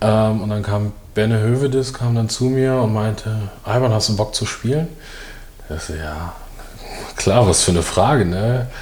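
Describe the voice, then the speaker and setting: Over noticeable background noise and audible room echo, a man talks at a moderate pace in a fairly low voice with ordinary pitch variation and long, frequent pauses. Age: 30s. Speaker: former professional footballer. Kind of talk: casual interview chat. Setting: studio.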